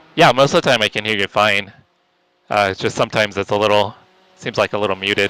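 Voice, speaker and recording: In a dry, close sound with no echo, a man with an American accent and a fairly low pitch talks at a very fast pace with fairly even intonation and long, frequent pauses. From California. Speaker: sim racing streamer. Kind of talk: casual chat during live gameplay. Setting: voice chat on Discord. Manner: quiet.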